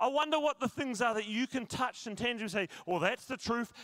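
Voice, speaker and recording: With a South Island New Zealand accent, a man speaks at an extremely high pitch. His tone is bright and sharp, and his intonation lively. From New Zealand, South Island. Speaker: pastor. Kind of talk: sermon. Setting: church.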